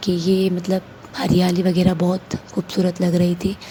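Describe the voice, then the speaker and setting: At a fairly slow pace, a woman talks in a medium pitch with monotone, flat intonation over noticeable background noise. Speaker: vlogger. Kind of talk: travel vlog narration.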